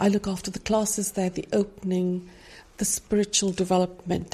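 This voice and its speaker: A woman speaks at medium pitch and a moderate pace, in a dark, mellow tone that is somewhat breathy. Her intonation is monotone and flat. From India. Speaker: Bible study ministry leader. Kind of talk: interview testimony.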